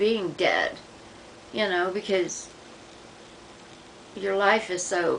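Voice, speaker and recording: Speaking at a very slow pace over noticeable background noise, a woman uses a medium pitch. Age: 60s. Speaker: vlogger documenting medication withdrawal. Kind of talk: personal video diary. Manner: halting.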